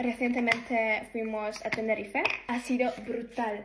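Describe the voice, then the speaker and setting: A woman's fairly high voice stays monotone and flat while noticeable noise continues behind her. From Poland. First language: Polish. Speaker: beauty vlogger. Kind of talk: casual get-ready-with-me chat.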